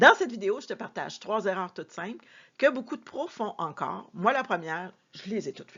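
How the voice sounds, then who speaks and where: In a plain, everyday voice, a woman talks at a fairly quick pace with fairly high pitch. Her intonation is lively and her loudness swings widely. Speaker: sales and customer service coach. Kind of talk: tutorial.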